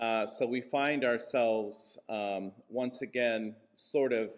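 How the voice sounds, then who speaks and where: The pitch of this man's voice is medium. He talks very slowly. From US Midwest, Kansas. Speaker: church leader and minister. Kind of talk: conference speech.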